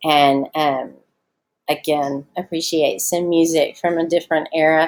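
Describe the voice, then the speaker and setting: A woman speaks in a Southern US accent. Her pitch is fairly low, with ordinary pitch variation. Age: 40s. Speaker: schoolteacher. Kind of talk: recorded online lesson. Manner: casual, many fillers.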